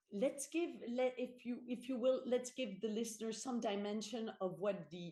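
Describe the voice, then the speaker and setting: A woman's dark, mellow tone at a fairly slow pace. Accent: French. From France. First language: French. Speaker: corporate board director. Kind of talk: podcast interview. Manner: halting, many fillers and repetitions.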